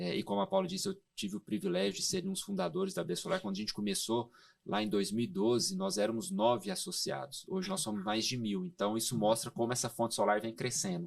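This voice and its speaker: Very fast and with very wide pitch swings, a man at a medium pitch talks on a very clean recording with a silent background. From Goiás, Brazil. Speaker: solar energy industry expert. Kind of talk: podcast interview. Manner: hesitant fillers.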